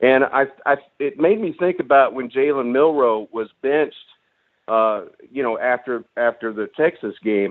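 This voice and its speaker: Speaking at a moderate pace with ordinary pitch variation, a man has a medium pitch and a plain, everyday voice. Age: 60s. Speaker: caller. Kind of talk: call-in radio talk.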